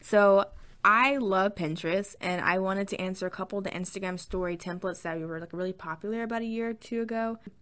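A woman at medium pitch with a slight Southern US accent, fairly quick and animated, excited in tone. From US South. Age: 20s. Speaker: podcaster. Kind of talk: casual chat, solo podcast.

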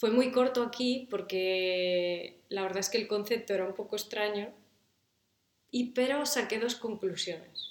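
Ordinary pitch variation at a fairly slow pace. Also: woman. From Galicia, Spain (coastal village). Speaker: musician and mother. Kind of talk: casual interview.

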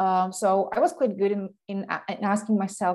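A medium-pitched woman with a Slovak accent at a fairly slow pace, in a very clean recording with a silent background. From Slovakia. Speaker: online business coach. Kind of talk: interview.

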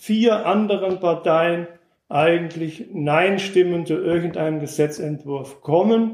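This man speaks at a high pitch. His pitch varies in an ordinary way. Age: 60s. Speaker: former East German dissident, contemporary witness. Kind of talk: explanatory lecture.

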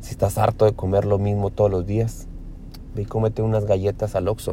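Somewhat breathy and monotone, a man with a fairly low pitch and a dark, mellow tone talks at a moderate pace. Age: 30s. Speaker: fitness podcaster. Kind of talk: motivational monologue. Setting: in a car.

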